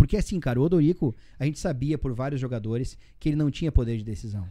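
Talking at a very fast pace, a man with medium pitch has a dark, mellow tone. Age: 30s. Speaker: sports journalist and radio commentator. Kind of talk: casual chat. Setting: studio.

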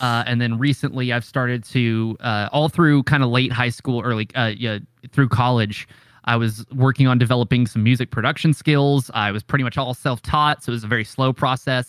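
A man with an American accent and an ordinary speaking voice, medium in pitch, fairly quick and fairly even in intonation, on a very clean recording with a silent background and a dry, close sound with no echo. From Oklahoma. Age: 20s. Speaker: streamer and content creator. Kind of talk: casual chat. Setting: Discord call.

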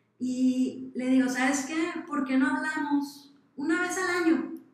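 A high-pitched woman's voice carries audible room echo. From Mexico, Sinaloa. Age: 20s. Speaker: social entrepreneur. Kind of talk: interview.

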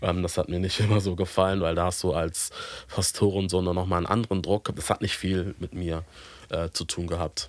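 A man talks in a very deep, low voice with monotone, flat intonation. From Hamburg, northern Germany. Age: 30s. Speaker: pastor. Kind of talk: casual chat. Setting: video call.

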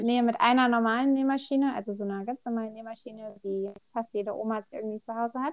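Someone talks at a moderate pace in a plain, everyday voice, with fairly even intonation. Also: woman. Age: 20s. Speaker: self-employed seamstress of vaulting costumes. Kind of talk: casual interview.

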